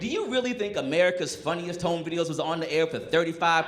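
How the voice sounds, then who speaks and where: A man speaks at a fairly quick pace in a high voice. Noticeable background noise runs under him. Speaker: stand-up comedian. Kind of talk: live stand-up comedy special. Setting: live comedy club with audience. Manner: casual, sarcastic, punchy.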